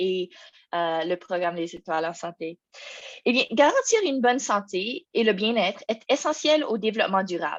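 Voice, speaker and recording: Against a quiet background, a woman with a non-native accent speaks at a moderate pace in a medium pitch with lively intonation. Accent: non-native French speaker, out of practice. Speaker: program officer presenting an information session. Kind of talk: webinar presentation. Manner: halting, many hesitations and restarts.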